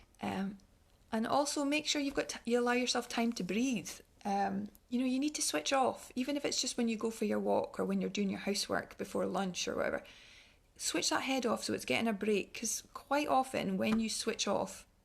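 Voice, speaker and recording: A woman talks with a Scottish accent. Her pace is fairly quick. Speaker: wellness speaker. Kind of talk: online talk. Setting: online livestream. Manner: fast; halting.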